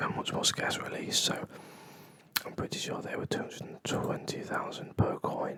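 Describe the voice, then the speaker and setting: A man's whisper in a relaxed tone at a moderate pace, over noticeable background noise. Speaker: ASMR coin channel host. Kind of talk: ASMR coin trivia quiz commentary. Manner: whispered, soft-spoken, relaxed.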